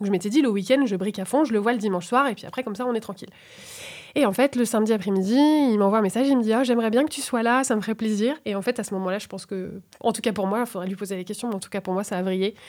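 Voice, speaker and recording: On a very clean recording with a silent background, a woman speaks at a very fast pace. Her voice is fairly high with ordinary pitch variation and big swings in loudness. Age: 30s. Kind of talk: casual conversation.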